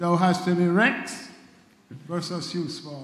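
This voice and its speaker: A high-pitched male voice with audible room echo. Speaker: committee member; panel member. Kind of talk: public talk. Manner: humorous. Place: church. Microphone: handheld.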